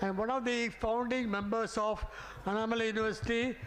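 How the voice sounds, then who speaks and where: Fairly quick speech with fairly even intonation, audible room echo and noticeable background noise. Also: man. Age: 80s+. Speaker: senior alumnus. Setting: stage with audience. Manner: halting.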